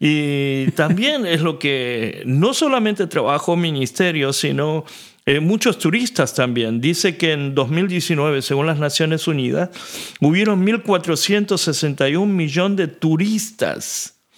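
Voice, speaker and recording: Very even in loudness, a man speaks very slowly with lively intonation and a fairly high pitch. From Argentina. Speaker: pastor.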